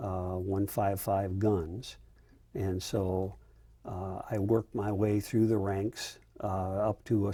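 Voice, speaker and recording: A man with an American accent talks at a fairly slow pace, his fairly low, somewhat breathy voice dark and mellow in tone, with monotone, flat intonation. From US Midwest, rural Iowa. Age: 70s. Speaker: retired army general, Vietnam veteran. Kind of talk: oral history interview. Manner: hesitant, many fillers.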